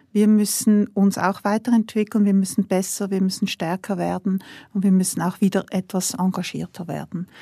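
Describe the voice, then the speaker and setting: A woman at medium pitch with a dark, mellow, somewhat breathy tone and monotone, flat intonation, at a moderate pace, on a very clean recording with a silent background and a dry, close sound with no echo. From Switzerland. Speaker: industrial CEO. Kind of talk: interview.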